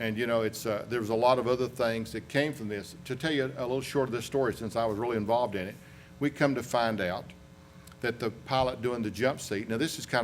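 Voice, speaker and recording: There is audible room echo as a man talks at a very fast pace. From US South, western North Carolina. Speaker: aviation accident investigator. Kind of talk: conference presentation.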